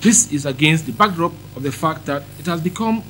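There is light background noise as a man speaks at a moderate pace. His intonation is lively, with some vocal fry. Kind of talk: press statement. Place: meeting room. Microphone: handheld.

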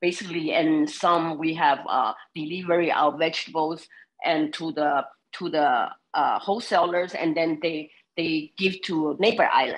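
This woman has a fairly low pitch and a non-native accent. She talks at a moderate pace with ordinary pitch variation. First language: not English. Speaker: farmer testifying at a public hearing. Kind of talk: public testimony. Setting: video conference. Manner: halting, many fillers. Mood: earnest, slightly nervous. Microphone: video call.

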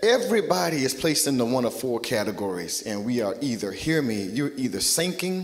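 The man's pitch swings very widely. He keeps a moderate pace. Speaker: pastor. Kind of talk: sermon. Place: church. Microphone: handheld.

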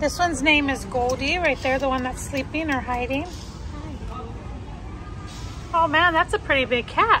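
A woman speaks slowly at a high pitch, leaving long, frequent pauses. Background noise is clearly heard. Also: ordinary pitch variation.

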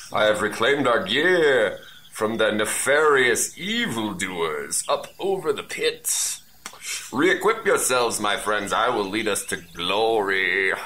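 Putting on a character voice, a man talks at a fairly slow pace and a medium pitch, with light background noise. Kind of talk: comic overacting. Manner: bombastic, gallant, condescending.

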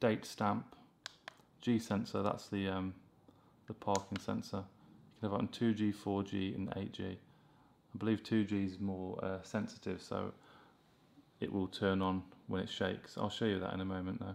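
A man speaks at a moderate pace in a fairly low pitch. His intonation is monotone and flat, broken by long, frequent pauses. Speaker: tech reviewer. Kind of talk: tutorial. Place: home room.

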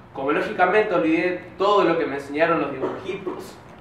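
At a moderate pace, a high-pitched man speaks with ordinary pitch variation, light background noise, and audible room echo. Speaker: spoken word poet. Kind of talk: spoken word poetry performance. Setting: live open-mic event. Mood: intimate, reflective. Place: stage.

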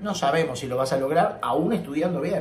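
This is a man speaking. There is audible echo from the room. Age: 50s. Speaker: professional tenor and singing teacher; singing teacher. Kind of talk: vlog monologue. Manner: serious; halting, repeats words. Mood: serious, earnest. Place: home room. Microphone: webcam.

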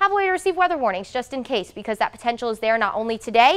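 The speaker is a woman with an upbeat tone. Her pitch swings very widely. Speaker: TV meteorologist. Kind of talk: TV weather forecast, explaining storm outlook map to camera. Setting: TV studio in front of weather map. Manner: conversational, upbeat explainer with light banter; measured, reassuring tone, repeatedly stressing threat is isolated. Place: studio.

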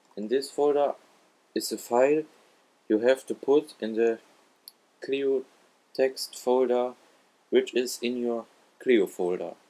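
This man speaks in a non-native accent at medium pitch, fairly slowly and with fairly even intonation. He leaves long, frequent pauses. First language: not English. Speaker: gaming tutorial YouTuber. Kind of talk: tutorial. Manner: halting.

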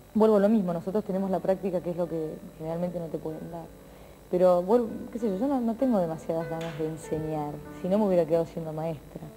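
With clear music in the background, a woman speaks very fast at a fairly low pitch, using ordinary pitch variation. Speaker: TV presenter. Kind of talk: interview answer. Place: studio.

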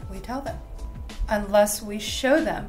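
The speech moves at a fairly slow pace. Faint music sits in the background. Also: woman. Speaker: bible study host. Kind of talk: lecture. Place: home room. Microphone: webcam.

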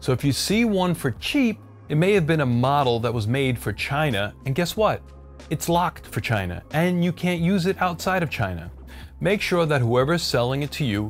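A man talks at a moderate pace while faint music sounds behind him. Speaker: cooking channel host. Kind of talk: product review commentary. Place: kitchen.

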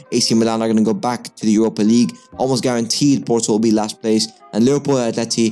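A man speaks at a very fast pace with fairly even intonation. Faint music plays in the background. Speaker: football commentator on a channel. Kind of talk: commentary. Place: home room. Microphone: studio mic.

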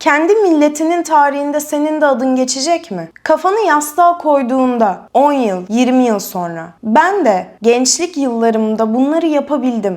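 Her high voice moving through very wide pitch swings, a woman speaks with hardly any pauses. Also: moderate pace. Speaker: video presenter. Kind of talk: scripted monologue. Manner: emphatic.

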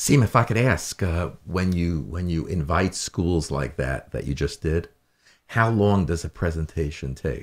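A man speaks with a very deep, low pitch and vocal fry at a fairly slow pace. His intonation is lively, and the recording is very clean with a silent background. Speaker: talk show host. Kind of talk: casual interview. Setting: studio. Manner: enthusiastic.

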